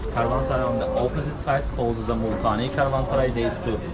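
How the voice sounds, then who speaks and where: A man speaks fairly quickly while loud background noise plays. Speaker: tour guide. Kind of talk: guided tour commentary. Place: street. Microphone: camera far.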